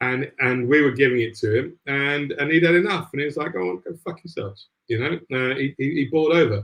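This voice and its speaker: Lively intonation marks a man's speech, delivered at a very fast pace. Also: fairly high pitch for a man. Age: 50s. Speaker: football podcast host. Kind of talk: casual football chat.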